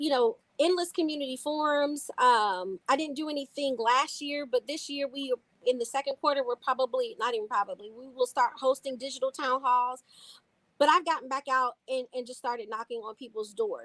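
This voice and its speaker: A high-pitched woman at a fairly quick pace, with big swings in loudness, ordinary pitch variation and a dry, close sound with no echo. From Louisville, Kentucky. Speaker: city council member. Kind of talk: interview.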